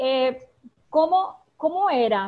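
The woman's voice has a high pitch. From Venezuela (Maracay). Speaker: former radio producer. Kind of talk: casual chat.

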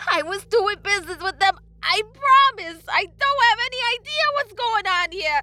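Putting on a character voice, a woman speaks at a moderate pace with an extremely high pitch, a bright, sharp tone and lively intonation.

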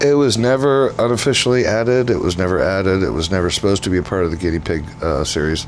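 Speaking at a very fast pace with hardly any pauses, a man with a very deep, low pitch keeps a very even loudness and lively intonation amid noticeable background noise and audible room echo. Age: 40s. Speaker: horror film distributor and director. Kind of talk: casual interview.

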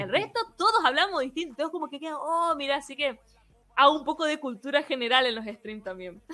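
Raised and projected in a Misiones Argentine accent, this voice moves at a fairly quick pace with very wide pitch swings and big swings in loudness, against noticeable background noise. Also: woman, high pitch for a woman. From Argentina, Misiones province. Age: 30s. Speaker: software engineer and programming teacher. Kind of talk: interview.

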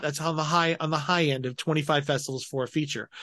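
A man with an American accent, in a normal speaking voice, fairly high-pitched, with fairly even intonation at a moderate pace against a quiet background. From Colorado. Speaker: film festival technical director and filmmaker. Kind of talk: casual interview.

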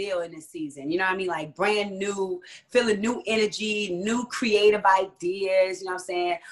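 A woman's medium-pitched voice with an American accent, fairly quick, with big swings in loudness. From New Jersey (Jersey City). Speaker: singer and choreographer. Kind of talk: interview.

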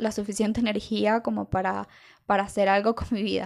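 A woman speaks with a Venezuelan accent at a fairly high pitch. The recording is very clean, with a silent background. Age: 20s. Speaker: illustrator. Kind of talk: monologue. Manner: halting.

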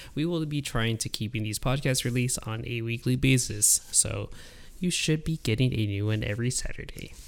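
A man speaks in a normal speaking voice at a medium pitch. His pace is fairly quick, with ordinary pitch variation. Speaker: podcast host. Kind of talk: casual chat. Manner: jokey, laughs a lot.

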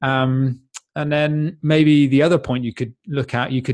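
This man talks at a moderate pace with a British accent. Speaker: fitness coach and podcaster. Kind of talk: casual interview answers.

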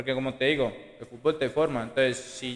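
Noticeable background noise is present throughout. Over it, a man keeps a moderate pace. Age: 20s. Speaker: youth football coach. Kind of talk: casual interview.

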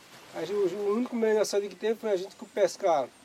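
Background noise is noticeable as a man talks at a fairly quick pace. His intonation is fairly even. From Pernambuco, northeastern Brazil. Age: 50s. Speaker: fisherman and museum founder. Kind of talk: interview testimony.

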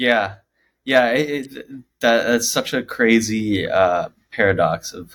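Speaking fairly slowly, a man with an ordinary speaking voice keeps a medium pitch and ordinary pitch variation while his loudness swings widely. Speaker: podcast co-host. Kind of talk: casual chat.

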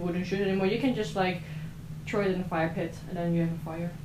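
Speaking very fast with a Dutch accent, a woman keeps a medium pitch and a monotone, flat intonation. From southern Netherlands. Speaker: exchange student. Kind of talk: casual chat.

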